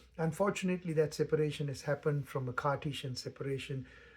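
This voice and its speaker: A man speaks with a fairly high pitch, somewhat breathy. The recording is very clean, with a silent background. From Sri Lanka. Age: 60s. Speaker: meditation teacher. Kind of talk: spoken reflection. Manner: halting.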